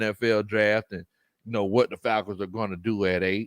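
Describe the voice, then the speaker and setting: A man with a strong Southern US accent on a very clean recording with a silent background. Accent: thick Southern. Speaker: sports podcast host, former football coach. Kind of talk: casual livestream chat. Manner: animated, repetitive.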